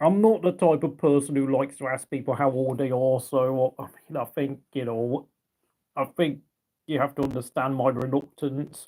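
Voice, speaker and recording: A man with a British accent speaks at a moderate pace in a dark, mellow tone, his pitch fairly high and his intonation fairly even. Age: 30s. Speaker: ASMR livestreamer. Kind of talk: casual livestream chat. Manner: halting.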